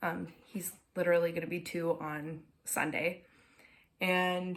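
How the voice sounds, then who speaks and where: The speaker has an American accent and talks at a fairly slow pace. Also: woman. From Minnesota. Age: 20s. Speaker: knitting podcaster. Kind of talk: casual chat. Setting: at home. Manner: frequent filler words.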